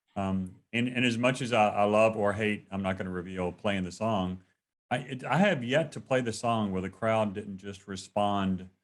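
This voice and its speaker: A man with a Southern accent speaks at a moderate pace in a fairly low pitch, with ordinary pitch variation. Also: very clean recording, silent background. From North Carolina. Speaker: interviewer. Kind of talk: casual chat. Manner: halting.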